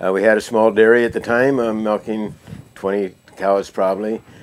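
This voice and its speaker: Someone with an American accent talks at a fairly quick pace, intonation fairly even. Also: man. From US Pacific Northwest, rural Washington. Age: 60s. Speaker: retired dairy farmer, beef farmer. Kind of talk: interview. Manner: halting, many fillers.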